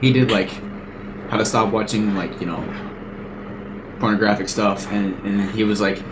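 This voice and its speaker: Amid noticeable background noise and audible room echo, a man with a fairly low voice speaks in monotone, flat intonation with long, frequent pauses. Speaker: podcast host. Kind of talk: casual chat. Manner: fast.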